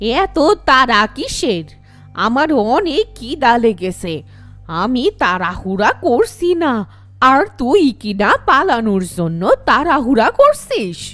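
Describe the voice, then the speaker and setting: A female-sounding, cartoonish character voice, high-pitched and raspy, drags along at a very slow pace. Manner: menacing.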